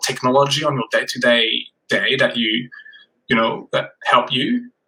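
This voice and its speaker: A man at a moderate pace, with a French accent. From France. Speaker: podcast host. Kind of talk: interview.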